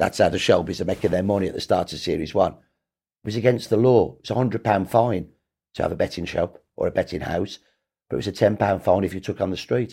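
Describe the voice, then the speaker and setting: Speaking at a very fast pace with a Birmingham accent, a man has a fairly low pitch, a dark, mellow tone and ordinary pitch variation. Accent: Birmingham (Brummie) English. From Birmingham, England. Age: 60s. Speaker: historian. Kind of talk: interview. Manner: animated.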